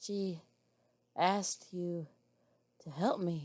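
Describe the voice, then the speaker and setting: In a put-on character voice, a woman sounds raspy at a fairly low pitch. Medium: read story.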